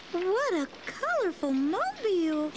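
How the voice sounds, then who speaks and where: Using a put-on character voice, a woman speaks at an extremely high pitch and a fairly slow pace, with clear background noise. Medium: read story. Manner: sweet, polite.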